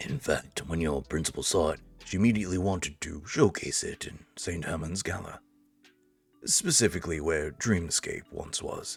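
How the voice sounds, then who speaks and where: A resonant, put-on character voice goes at a moderate pace with faint music in the background. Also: man, very deep, low pitch for a man, ordinary pitch variation. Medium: game stream. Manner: formal, courteous.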